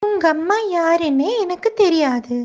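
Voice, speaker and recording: A woman performs a squeaky, cartoonish character voice at an extremely high pitch, with lively intonation and a fairly slow pace. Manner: curt, dismissive.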